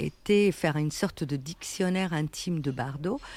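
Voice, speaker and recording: A woman with an Italian accent speaks at a fairly slow pace, her fairly low voice dark and mellow with ordinary pitch variation. The recording is very clean, with a silent background. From Italy. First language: Italian (speaking French). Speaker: writer. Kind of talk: interview. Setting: café.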